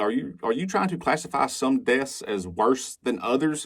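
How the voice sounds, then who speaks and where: A man talks fairly quickly at medium pitch. He has a Southern US accent. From Alabama, US South. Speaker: commentary video creator. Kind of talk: reaction commentary. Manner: animated.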